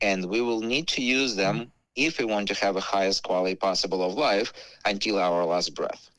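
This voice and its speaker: A man with a normal speaking voice, very even loudness, moderate pace and ordinary pitch variation. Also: fairly low pitch for a man. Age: 40s. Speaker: wellness product seller. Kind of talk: radio interview. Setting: radio show.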